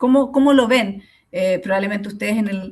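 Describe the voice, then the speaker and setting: Somewhat breathy, the woman's voice shows ordinary pitch variation. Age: 40s. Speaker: sociologist and course lecturer. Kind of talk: online lecture. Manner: hesitant, many fillers.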